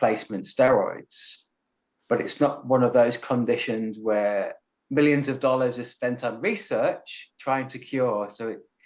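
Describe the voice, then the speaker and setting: With an Australian accent, a man talks at a moderate pace in a medium pitch. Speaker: chronic illness advocate and speaker. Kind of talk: interview.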